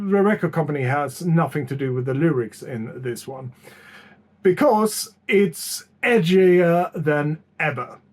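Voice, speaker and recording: A man's lively intonation at a very slow pace. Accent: non-native. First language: not English. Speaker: music YouTuber. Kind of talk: album review. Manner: hesitant, many fillers.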